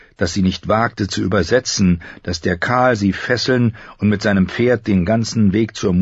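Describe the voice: Plain reading aloud moves with ordinary pitch variation.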